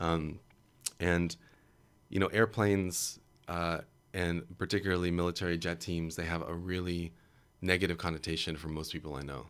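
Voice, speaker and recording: Fairly even intonation at a moderate pace, with long, frequent pauses, on a very clean recording with a silent background. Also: man, very deep, low pitch for a man. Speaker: artist and writer. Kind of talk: radio interview, thoughtful discussion of philosophy of audio. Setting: radio studio.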